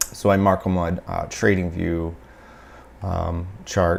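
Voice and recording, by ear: A man talks slowly in a low, raspy voice with vocal fry. His pitch barely moves.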